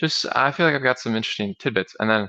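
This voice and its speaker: A man's fairly low-pitched voice with a bright, sharp tone. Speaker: talk show host. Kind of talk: solo livestream talk. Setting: livestream. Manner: monotone; casual, hesitant.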